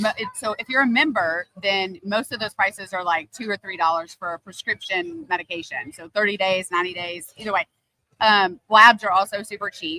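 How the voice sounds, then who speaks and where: Her tone bright and sharp, a woman speaks at a medium pitch and fairly quick pace with ordinary pitch variation and big swings in loudness, captured dry and close with no echo. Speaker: healthcare provider at a clinic. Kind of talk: interview.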